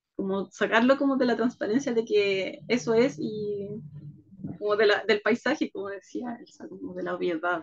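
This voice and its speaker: A woman talks at a moderate pace in a fairly high pitch with lively intonation. Her loudness swings a lot. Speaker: leadership workshop speaker. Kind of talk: video conference conversation. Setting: video call.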